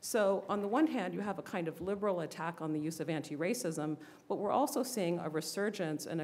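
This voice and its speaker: At a fairly quick pace, a woman with an American accent speaks with ordinary pitch variation. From US Northeast. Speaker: historian and author; panelist. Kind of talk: panel discussion. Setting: bookstore event with live audience. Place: shop. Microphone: podium.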